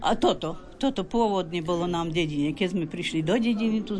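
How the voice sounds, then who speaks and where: A woman talks at a moderate pace with lively intonation. Crowd noise fills the background, and room echo is audible. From Slovakia, Hont region (Hrušov). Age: 80s+. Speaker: village elder demonstrating folk traditions. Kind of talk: interview. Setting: folk house at festival.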